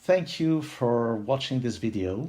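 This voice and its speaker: The man talks at a very slow pace. His intonation is lively. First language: French. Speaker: puzzle-solving video creator. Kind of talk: casual, friendly.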